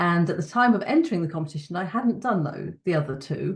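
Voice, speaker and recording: A woman with a British accent talks fairly quickly in a fairly low, somewhat breathy voice. Her pitch moves in an ordinary way. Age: 60s. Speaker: powerlifter and speaker on evangelism. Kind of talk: personal testimony. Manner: conversational with frequent fillers.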